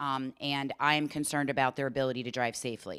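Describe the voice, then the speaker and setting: The recording of this woman is very clean, with a silent background and a dry, close sound with no echo. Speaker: occupational therapist, driving rehabilitation specialist. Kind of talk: informational talk. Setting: town hall meeting, audience. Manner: loud.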